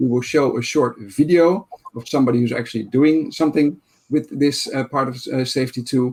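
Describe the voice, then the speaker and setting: This man speaks at a medium pitch. His pace is fairly quick. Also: ordinary pitch variation. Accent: Dutch. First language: Dutch. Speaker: conference session moderator. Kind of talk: online conference moderation. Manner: halting, many fillers.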